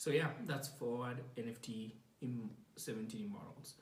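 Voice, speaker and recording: A somewhat breathy man speaks at a very slow pace with audible room echo. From Kenya. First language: not English. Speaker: podcast host. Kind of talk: casual monologue. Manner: hesitant, many fillers.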